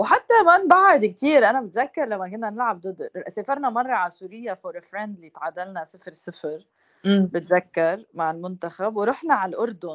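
With an unremarkable speaking voice, a woman of medium pitch talks at a moderate pace with hardly any pauses, lively intonation, and big swings in loudness. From Lebanon. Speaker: former football player. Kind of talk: casual chat.

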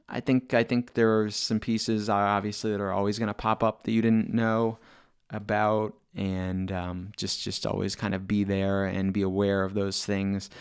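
With a silent background and a very clean recording, a man speaks in a flat, monotone way at a fairly low pitch. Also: moderate pace. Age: 40s. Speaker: DJ and podcast host. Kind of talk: casual solo monologue. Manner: conversational with filler words.

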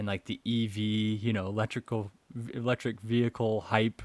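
With an unremarkable speaking voice, a man pitched fairly low keeps to a moderate pace. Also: dry, close sound with no echo. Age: 30s. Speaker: podcast co-host on stock markets. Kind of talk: casual chat.

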